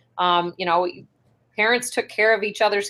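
A woman with an Upper Midwest accent. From North Dakota (Ray). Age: 30s. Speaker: state senator. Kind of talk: interview.

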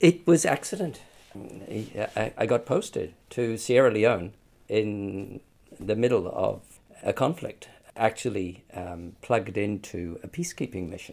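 Lively intonation from a man at a medium pitch, delivered at a fairly slow pace. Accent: New Zealand. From New Zealand. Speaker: UN human rights expert. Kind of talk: interview. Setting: studio.

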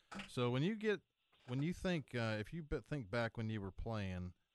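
A man with an unremarkable speaking voice at a medium pitch, lively intonation and a moderate pace, in a dry, close sound with no echo against a quiet background. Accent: American. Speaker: professional golfer and radio co-host. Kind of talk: sports radio talk show.

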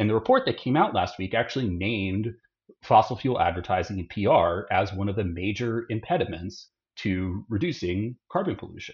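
A man with an American accent, fairly low in pitch and somewhat breathy, at a moderate pace with ordinary pitch variation. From Austin, Texas. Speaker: climate campaign director. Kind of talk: interview.

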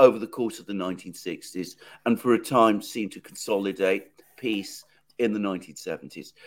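In a British accent, a man talks at a moderate speed. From Britain. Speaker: political commentator, co-host. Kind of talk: live interview on current affairs. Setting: remote video call from London.

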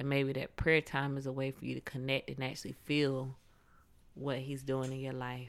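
A woman with a very deep, low pitch speaks in a monotone, flat intonation. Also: moderate pace. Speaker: podcast co-host. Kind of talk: casual conversational podcast talk about faith and prayer.

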